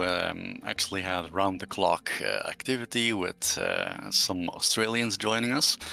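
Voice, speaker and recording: A man speaks with a Dutch accent at a fairly slow pace. His pitch varies in an ordinary way. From Netherlands. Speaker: community game server admin. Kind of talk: casual livestream chat. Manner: halting, many fillers.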